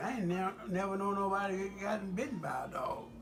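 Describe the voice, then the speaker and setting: A man speaks at a fairly slow pace with an American accent. Music plays in the background. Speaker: former US Marine. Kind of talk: casual personal storytelling.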